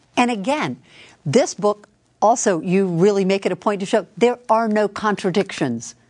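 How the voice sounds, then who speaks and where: This woman has an unremarkable speaking voice at medium pitch, with lively intonation and a moderate pace. The background is quiet. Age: 60s. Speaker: guest co-host interviewer. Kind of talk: interview conversation.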